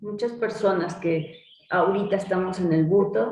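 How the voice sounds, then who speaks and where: Speaking with a Mexican accent, a woman talks at a very slow pace with fairly even intonation. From Mexico. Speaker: butoh dancer and teacher. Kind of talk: interview answer.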